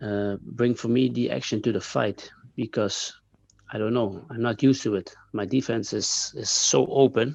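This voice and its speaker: With a Dutch accent and vocal fry, a man speaks at a moderate pace in a medium pitch with ordinary pitch variation over a quiet background. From Netherlands. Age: 30s. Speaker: kickboxer. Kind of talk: interview. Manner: halting, many fillers and repeats.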